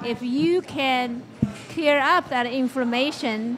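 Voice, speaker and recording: A woman speaks with a high pitch and ordinary pitch variation while music plays in the background. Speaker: guest. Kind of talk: interview answer. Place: studio. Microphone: handheld.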